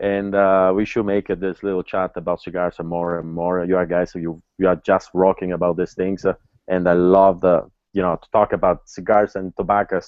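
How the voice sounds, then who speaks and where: His voice is very deep and low. This man talks at a fairly quick pace. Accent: Italian. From Italy. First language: Italian. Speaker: cigar master blender. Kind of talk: interview.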